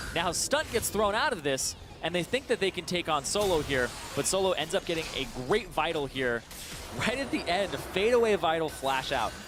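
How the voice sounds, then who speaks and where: Music plays behind a man speaking. His voice is high in pitch and swings very widely up and down. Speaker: esports caster. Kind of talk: live commentary. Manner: fast.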